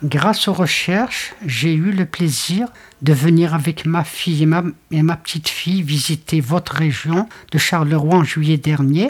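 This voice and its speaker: A woman speaks at a fairly slow pace with a very deep, low pitch. Her voice is somewhat breathy, with ordinary pitch variation. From Algeria. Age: 80s+. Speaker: grandmother in a documentary. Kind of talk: documentary interview. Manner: halting.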